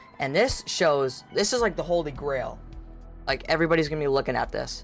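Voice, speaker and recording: An animated tone with music in the background. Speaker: Halloween YouTuber. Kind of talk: casual vlog commentary. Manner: halting, stuttering.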